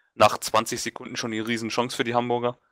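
At a very fast pace, a man with a medium-pitched voice and a bright, sharp tone speaks in a very clean recording with a silent background and a dry, close sound with no echo. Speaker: football talk panelist. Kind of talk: casual chat.

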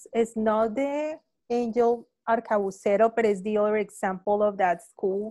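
A woman with a Spanish accent speaks in a dark, mellow tone with fairly even intonation over a quiet background. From Colombia, Palmira; Colombia. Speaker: painter. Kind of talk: panel conversation. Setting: video call. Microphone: video call.

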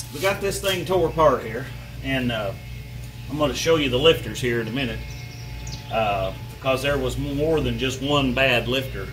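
Fairly slow speech with music in the background. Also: man. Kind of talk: casual how-to vlog chat. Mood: relaxed, easygoing. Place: garage. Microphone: phone near.

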